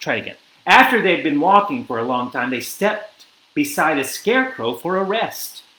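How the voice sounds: A natural reading voice runs through this recording.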